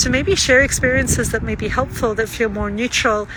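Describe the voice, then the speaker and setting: Noticeable background noise accompanies a woman speaking at a fairly quick pace in a fairly high voice. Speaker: trauma-informed practitioner and vlogger. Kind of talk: casual reflective monologue.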